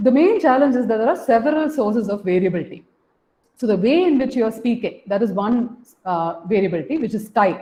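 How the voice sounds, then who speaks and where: A woman's somewhat breathy, fairly high voice at a very fast pace with lively intonation. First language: Malayalam. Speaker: professor. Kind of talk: lecture. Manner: semi-spontaneous, guided by slides; hesitant, with fillers. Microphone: room echo.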